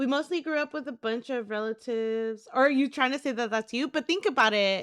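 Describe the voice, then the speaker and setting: On a very clean recording with a silent background, a woman with a high pitch and an animated tone talks at a moderate pace with ordinary pitch variation. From California, Mexican-American. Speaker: streamer. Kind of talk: casual chat. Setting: live stream.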